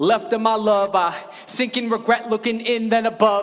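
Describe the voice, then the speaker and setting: A moderate pace over noticeable background noise. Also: man. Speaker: spoken word poet. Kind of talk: live spoken word poetry performance.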